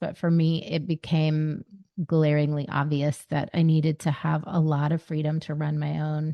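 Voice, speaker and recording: A woman's very deep, low voice in a Southern US accent, at a moderate pace. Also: quiet background. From US South. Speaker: life coach. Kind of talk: podcast interview. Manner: halting, many fillers.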